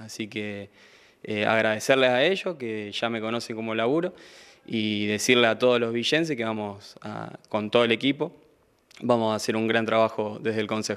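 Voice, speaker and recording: The speaker is a man at a moderate speed. There is ordinary movement in his pitch. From Argentina, Santa Fe province. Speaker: incoming city councillor and sports figure; incoming town councillor. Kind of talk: interview. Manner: hesitant, repeats words. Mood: grateful, upbeat. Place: studio. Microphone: handheld.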